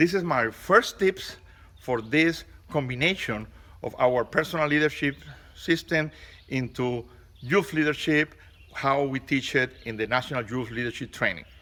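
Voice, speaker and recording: The speaker's bright, sharp tone moves at a moderate pace with ordinary pitch variation and long, frequent pauses. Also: man, fairly high pitch for a man. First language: Spanish. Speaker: scout leader and leadership trainer. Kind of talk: motivational talk.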